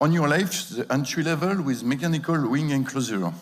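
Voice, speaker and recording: A man talks with a French accent. The room echo is audible. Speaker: industry expert speaker. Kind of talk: conference presentation. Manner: halting.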